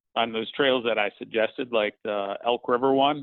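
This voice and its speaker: A man talks at a fairly quick pace in a medium pitch. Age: 50s. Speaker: mountain biking coach. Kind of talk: casual interview. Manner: halting, many fillers.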